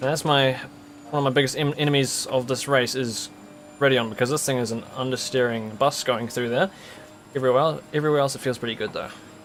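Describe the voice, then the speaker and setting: Music plays in the background as a man with a New Zealand accent talks very fast at a medium pitch with fairly even intonation. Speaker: sim racing streamer. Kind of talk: live gameplay commentary. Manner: casual, conversational.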